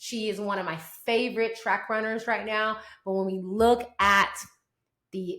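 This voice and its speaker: Audible room echo surrounds a woman with a Southern US accent who speaks in an animated tone with a fairly high voice. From US South. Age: 40s. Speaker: sports podcast host. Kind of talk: sports commentary podcast.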